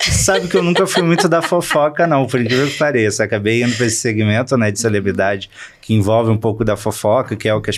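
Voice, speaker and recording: This man has a plain, everyday voice at a medium pitch with ordinary pitch variation. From Rio de Janeiro state, Volta Redonda and Niterói. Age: 30s. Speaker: entertainment journalist. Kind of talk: interview.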